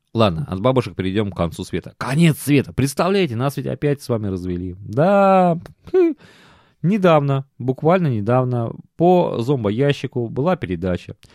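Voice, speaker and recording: A man speaks at a moderate pace in a medium pitch with an animated tone and very wide pitch swings, recorded very cleanly against a silent background with a dry, close sound and no echo. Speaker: podcast host. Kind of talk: casual monologue.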